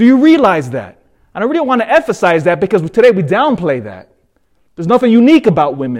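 Very fast and high-pitched for a man, this male voice has an animated tone with very wide pitch swings. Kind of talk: homily at Mass. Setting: church. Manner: informal, joking, animated.

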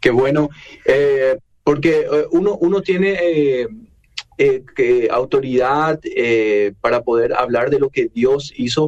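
A man's fairly slow delivery with lively intonation. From Paraguay. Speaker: radio host. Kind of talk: radio interview. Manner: halting.

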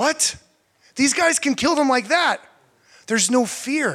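This is a man talking. His tone is bright and sharp. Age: 30s. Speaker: guest preacher, missionary and evangelist. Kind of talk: sermon.

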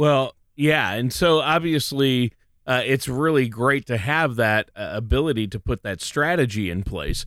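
In an ordinary speaking voice, a man at medium pitch talks at a fairly slow pace with lively intonation, the sound dry and close with no echo and the recording very clean over a silent background. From Minnesota. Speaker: guest co-host of a finance radio show. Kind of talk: casual radio talk.

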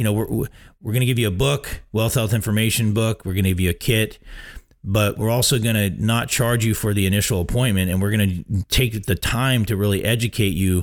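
Here is a man with a plain, everyday voice. His pitch is fairly low, and the recording is very clean with a silent background. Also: fairly quick pace, very even loudness. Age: 40s. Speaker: radio host, retirement planner. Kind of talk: radio show monologue. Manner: casual, filler-heavy.

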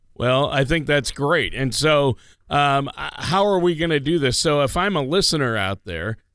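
A man has an unremarkable speaking voice, fairly high in pitch with lively intonation at a moderate pace. The recording is very clean with a silent background. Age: under 60. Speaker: radio co-host and announcer. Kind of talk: casual chat. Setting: studio.

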